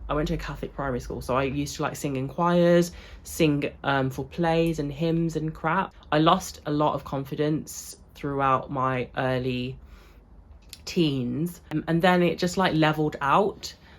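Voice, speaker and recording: The speaker has a British accent. The pace is fairly slow and the intonation fairly even. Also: woman, very deep, low pitch for a woman. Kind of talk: casual vlog talk. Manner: casual, filler-heavy.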